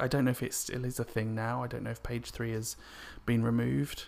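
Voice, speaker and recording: A man with an English accent in a very clean recording with a silent background. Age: 30s. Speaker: podcaster. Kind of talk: personal monologue. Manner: hesitant, many fillers.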